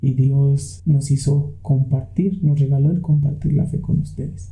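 There is audible room echo as a man with a fairly high pitch talks at a fairly slow pace with ordinary pitch variation. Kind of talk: storytelling. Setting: home studio.

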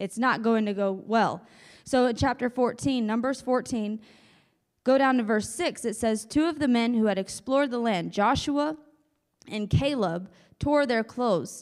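Moderate tempo and ordinary pitch movement in a plain, everyday voice. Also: woman, fairly high pitch for a woman. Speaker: preacher. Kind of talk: sermon. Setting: church.

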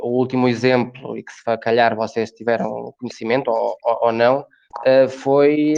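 At a fairly slow pace, a man talks in a medium-pitched voice with monotone, flat intonation. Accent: Galician. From Galicia, Ourense province (rural). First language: Galician (speaking Portuguese). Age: 20s. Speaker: youth organization member. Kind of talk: interview, casual discussion. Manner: halting, repeats words.

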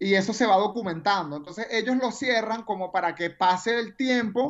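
A woman speaks at a medium pitch with a strong Venezuelan accent. Her intonation is lively. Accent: strong Venezuelan, deliberately emphasized. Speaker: radio announcer. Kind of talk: casual chat.

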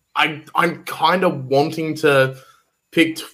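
A man with an Australian accent speaks in a bright, sharp tone with fairly even intonation. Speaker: guest co-host, music fan. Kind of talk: casual chat.

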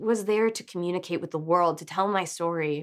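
Against a silent background in a very clean recording, a woman uses a normal speaking voice at a medium pitch, talking at a fairly quick pace with lively intonation and an American accent. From South Carolina, Columbia. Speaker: comics artist and TV showrunner. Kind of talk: casual interview chat. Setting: studio, drinking cocktails.

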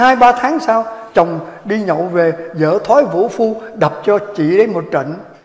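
The man speaks at a fairly slow pace. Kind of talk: humorous storytelling to audience. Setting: live audience. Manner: animated.

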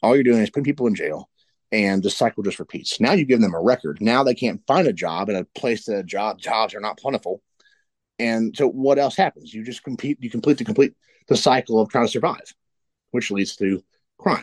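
A man with an Appalachian accent, recorded with a dry, close sound and no echo. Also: medium pitch for a man, lively intonation, fairly quick pace. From West Virginia. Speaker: political candidate. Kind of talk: interview.

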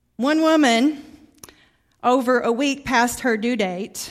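A woman speaks in a high pitch with ordinary pitch variation. She has a slight Southern US accent. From Arkansas, US South. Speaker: guest preacher. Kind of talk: sermon. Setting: church.

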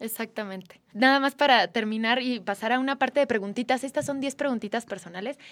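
In a very clean recording with a silent background, a woman speaks in a high voice at a fairly quick pace, with ordinary pitch variation and hardly any pauses. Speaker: podcast host. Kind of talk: interview.

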